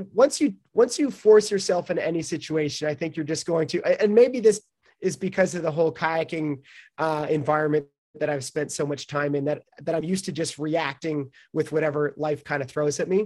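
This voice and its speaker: In a Canadian accent, the speaker moves at a fairly quick pace with ordinary pitch variation. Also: man, fairly high pitch for a man. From Canada, small town. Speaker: professional kayaker. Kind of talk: interview conversation. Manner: hesitant, many fillers.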